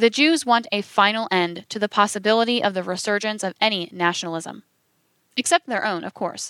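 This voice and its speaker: The sound is dry and close with no echo as a woman talks fairly quickly in a bright, sharp, medium-pitched voice with ordinary pitch variation. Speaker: audiobook narrator. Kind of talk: audiobook reading of a biography chapter. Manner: formal, even-paced, measured narration.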